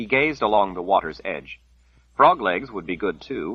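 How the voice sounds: The intonation is lively in a natural reading voice.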